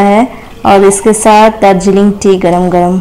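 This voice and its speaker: Her intonation monotone and flat, a woman speaks at a very slow pace. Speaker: food vlogger. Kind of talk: casual vlog chat. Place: kitchen.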